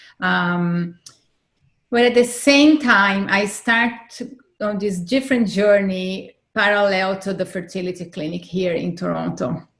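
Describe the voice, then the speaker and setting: A woman speaks with a non-native accent at a fairly slow pace. Her pitch is medium, with ordinary pitch variation. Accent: foreign accent, noticeable. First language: not English. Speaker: fertility advocate and author. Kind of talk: interview, personal testimony.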